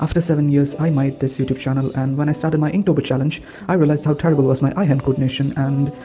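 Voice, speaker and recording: Over noticeable background noise, a man with a non-native accent talks very fast in a fairly high voice, his intonation fairly even. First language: not English. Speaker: art YouTuber. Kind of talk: voiceover narration.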